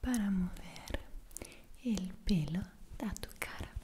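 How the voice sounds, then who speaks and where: Soft-spoken whispering comes at a very slow pace over light background noise. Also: woman. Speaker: ASMR creator. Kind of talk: soft personal-attention roleplay talk. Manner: soft intimate ASMR whisper. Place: home room.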